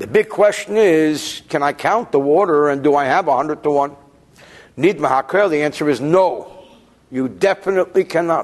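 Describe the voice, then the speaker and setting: A man with an unremarkable speaking voice talks at a moderate pace in a fairly high pitch, with ordinary pitch variation. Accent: American. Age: 40s. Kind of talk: lecture. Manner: conversational, self-correcting.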